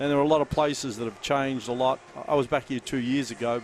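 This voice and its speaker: A man's very fast, monotone delivery with flat intonation, against noticeable background noise. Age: 60s. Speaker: basketball coach. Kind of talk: courtside interview.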